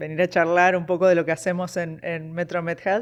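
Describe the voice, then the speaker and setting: A woman speaks at a moderate pace. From Uruguay, Montevideo. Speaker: nurse practitioner. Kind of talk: interview conversation.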